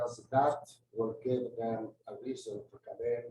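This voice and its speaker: A man speaks with a non-native accent. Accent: foreign. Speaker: gardener. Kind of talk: presentation. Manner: halting.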